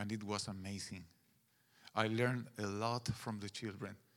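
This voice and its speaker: In a Guatemalan accent, a man talks at a fairly slow pace with a fairly low pitch and monotone, flat intonation. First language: Spanish. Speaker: pastor. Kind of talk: sermon. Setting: church.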